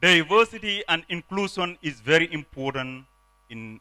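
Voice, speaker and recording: In a dry, close recording with no echo, a man with a bright, sharp tone and a fairly high pitch speaks at a moderate pace with lively intonation. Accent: non-native. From Gambia. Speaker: politician. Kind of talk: conference speech.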